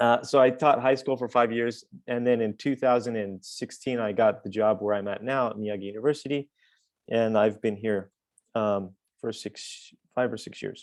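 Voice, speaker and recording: A man with an American accent and an unremarkable speaking voice talks at medium pitch and a moderate pace with fairly even intonation over a quiet background. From US West, northern Nevada. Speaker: university English lecturer. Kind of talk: conference webinar presentation.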